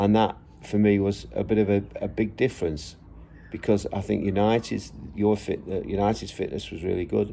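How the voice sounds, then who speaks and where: With an English accent, a man speaks at a moderate pace. His voice is fairly low in pitch. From England. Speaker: football vlogger, former professional player and coach. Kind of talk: casual monologue vlog. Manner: halting, many fillers.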